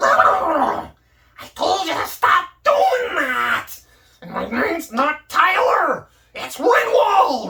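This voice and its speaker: A man puts on a character voice at an extremely high pitch. He speaks very slowly. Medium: solo performance. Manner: irritable, bossy.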